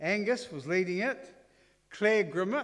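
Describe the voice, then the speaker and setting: A man with a New Zealand accent, high-pitched, at a moderate pace. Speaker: reunion speaker. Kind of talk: sermon-style talk. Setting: church. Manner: humorous.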